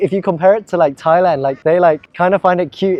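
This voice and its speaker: A man speaks with an English accent at a fairly high pitch. His pitch varies in an ordinary way. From England. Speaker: YouTuber and language learner. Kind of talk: interview answers. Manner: casual, many fillers.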